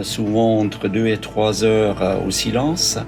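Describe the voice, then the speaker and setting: A man's fairly low voice with a slight Swiss German accent, a fairly slow pace and music in the background. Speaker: social worker and therapeutic camp organizer. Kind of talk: interview explanation. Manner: hesitant with fillers.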